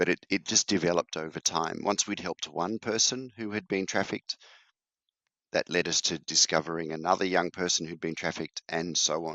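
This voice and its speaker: A man with an Australian accent speaks at a moderate pace in a very deep, low pitch with ordinary pitch variation. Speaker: charity founder. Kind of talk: interview.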